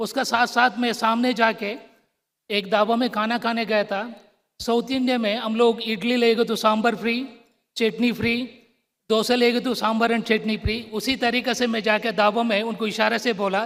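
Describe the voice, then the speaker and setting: A man speaks with a Tamil accent at an extremely high pitch. His intonation stays monotone and flat. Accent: South Indian (Tamil) accented Hindi. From Tamil Nadu, South India. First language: Tamil (speaking Hindi). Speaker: public sector company director. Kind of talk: formal ceremony speech.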